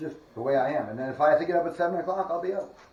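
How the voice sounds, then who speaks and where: A man talks at a very fast pace in a high pitch, with ordinary pitch variation. Noticeable background noise and audible room echo fill the recording. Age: 60s. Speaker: spiritualist paranormal investigator. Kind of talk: casual walkthrough commentary. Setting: indoors in a house, on camera. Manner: animated.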